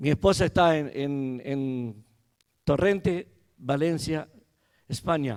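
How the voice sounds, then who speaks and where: The speaker is a man. His intonation is lively. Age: 60s. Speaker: pastor. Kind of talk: sermon. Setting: church.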